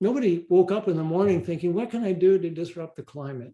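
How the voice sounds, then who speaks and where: The man's voice is high-pitched, with a dark, mellow tone. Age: 70s. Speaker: author giving a talk. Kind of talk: lecture.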